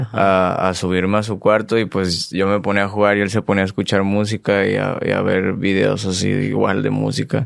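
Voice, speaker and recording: A man with a fairly low pitch talks in a monotone, flat way. He keeps a moderate pace with hardly any pauses. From Mexico. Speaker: singer; podcast guest. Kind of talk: casual interview. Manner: reserved, subdued. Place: studio. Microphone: studio mic.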